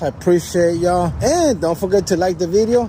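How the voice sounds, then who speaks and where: A man with a high pitch speaks at a moderate tempo and ordinary pitch variation while noticeable background noise carries on. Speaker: shopping vlogger. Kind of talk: casual shop-along vlog.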